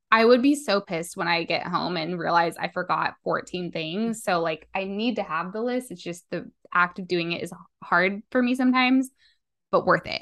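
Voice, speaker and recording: A woman with an American accent speaks at a moderate pace against a quiet background. Her medium pitch shows ordinary variation. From Las Vegas, Nevada. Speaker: podcast co-host, copywriter. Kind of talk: casual chat.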